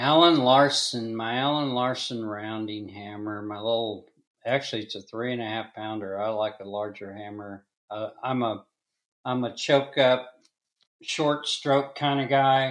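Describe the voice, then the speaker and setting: A man's medium-pitched, normal speaking voice in an American accent, at a fairly slow pace, with ordinary pitch variation and big swings in loudness. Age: 60s. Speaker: blacksmith and forge maker. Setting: video call.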